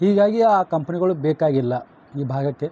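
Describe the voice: The tone is dark and mellow. The pace is moderate. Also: man, fairly high pitch for a man, ordinary pitch variation.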